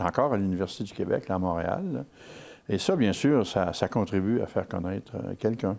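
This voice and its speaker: Speaking at a fairly quick pace, a man has a fairly low pitch, a dark, mellow tone and ordinary pitch variation. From Quebec, Gaspésie. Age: 70s. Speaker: regional activist spokesman. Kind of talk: TV interview. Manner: hesitant, many fillers.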